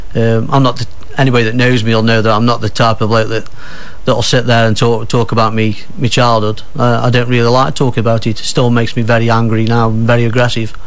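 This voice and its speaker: Over noticeable background noise and audible room echo, a man with a Potteries accent talks very fast in a flat monotone at medium pitch, his loudness very even. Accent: Potteries (Stoke) English. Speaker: author. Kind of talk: radio interview. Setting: radio studio. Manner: halting; quiet.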